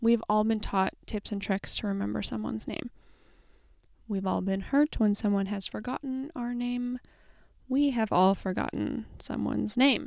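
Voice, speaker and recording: A woman speaks at a moderate pace. The sound is dry and close with no echo. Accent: American. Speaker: podcast host and writer. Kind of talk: faith-based solo podcast talk. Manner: animated.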